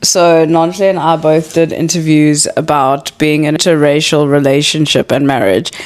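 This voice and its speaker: A woman with a very deep, low pitch talks at a moderate pace with hardly any pauses. Her intonation is fairly even, her loudness very even, and noticeable background noise is present. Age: 30s. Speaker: podcast host. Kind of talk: casual chat.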